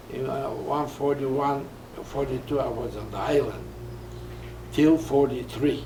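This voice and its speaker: A man pauses long and often as he talks, with audible room echo and noticeable background noise around him. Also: fairly slow pace. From Poland. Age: 80s+. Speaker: Holocaust survivor. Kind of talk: interview. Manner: halting.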